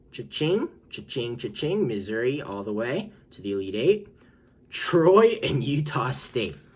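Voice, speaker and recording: A man talks fairly slowly, somewhat breathy, his pitch swinging very widely. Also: medium pitch for a man, big swings in loudness. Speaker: sports YouTuber. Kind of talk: casual commentary video. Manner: animated.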